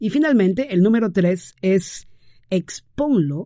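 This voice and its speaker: This man has a high pitch, a dark, mellow tone and lively intonation. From Peru. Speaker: podcast host. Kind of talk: casual monologue advice. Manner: warm, hesitant with fillers.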